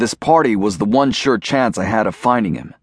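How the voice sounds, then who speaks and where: A man talks at a very fast pace with lively intonation. His medium-pitched voice carries a dramatic, playful tone. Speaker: audiobook narrator. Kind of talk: scripted first-person audiobook narration of a thriller.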